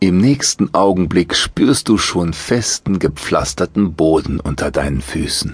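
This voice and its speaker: A man with a very deep, low pitch and vocal fry speaks at a fairly slow pace with hardly any pauses, using lively intonation and a calm, soothing tone in a dry, close recording with no echo. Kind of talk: guided meditation. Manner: slow, calm, soothing.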